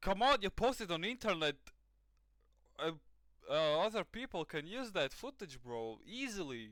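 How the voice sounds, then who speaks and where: A man with a Latvian accent speaks at a moderate pace and high pitch, swinging very widely in pitch and taking long, frequent pauses. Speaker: reaction streamer. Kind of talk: live reaction commentary. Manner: animated.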